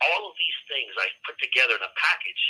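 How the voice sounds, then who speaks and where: Moderate pace from a man. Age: 60s. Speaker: prison inmate discussing serial killers. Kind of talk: interview answers. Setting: live call from prison.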